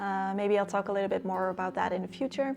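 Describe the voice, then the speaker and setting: This woman speaks. She has a Dutch accent. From Netherlands. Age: 20s. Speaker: lifestyle YouTuber. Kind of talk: casual Q&A vlog.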